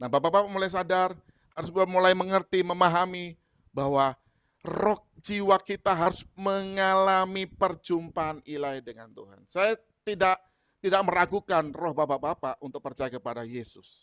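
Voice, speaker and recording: A man speaks at a high pitch with big swings in loudness. The background is quiet. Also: ordinary pitch variation, moderate pace. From Indonesia. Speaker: preacher. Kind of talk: sermon. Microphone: earbuds.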